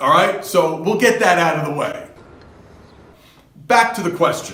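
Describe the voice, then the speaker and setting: This voice is raised and projected, with a New Jersey accent. It moves at a fairly slow pace with lively intonation. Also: man, high pitch for a man. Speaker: fitness coach. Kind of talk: advice monologue. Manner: casual, conversational.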